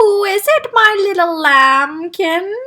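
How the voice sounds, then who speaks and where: In a put-on character voice, a woman speaks very slowly and shakily at an extremely high pitch. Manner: sweetly fond.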